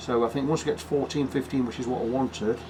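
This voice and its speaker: With an English accent, a man at medium pitch talks at a very fast pace against noticeable background noise. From England. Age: 60s. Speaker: guitar repair technician. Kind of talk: casual chat; workshop tutorial.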